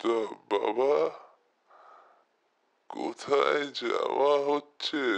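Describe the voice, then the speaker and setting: The voice is a put-on character voice, hoarse and raspy. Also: man. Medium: audio drama. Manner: folksy, prying.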